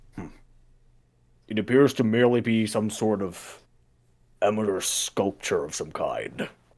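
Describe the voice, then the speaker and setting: Using a put-on character voice, a man at medium pitch speaks at a moderate pace with long, frequent pauses. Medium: actual play. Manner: formal, matter-of-fact.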